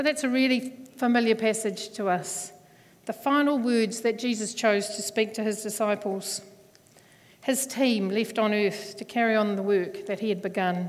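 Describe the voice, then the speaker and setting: In a New Zealand accent, a woman speaks at a fairly high pitch. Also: moderate pace. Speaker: church elder. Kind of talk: sermon. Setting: church.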